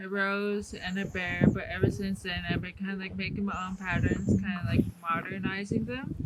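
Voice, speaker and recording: Noticeable background noise is present. The intonation stays fairly even. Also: woman. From Alaska (Fairbanks), Athabascan Native. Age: 20s. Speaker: Native cultural interpreter and bead artist. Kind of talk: cultural talk to a tour group. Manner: hesitant, many filler ums.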